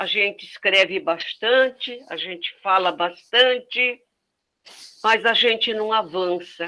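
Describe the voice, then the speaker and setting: A woman's bright, sharp tone comes at a very slow pace with fairly even intonation. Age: 80s+. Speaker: community member asking a question. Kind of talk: public Q&A question.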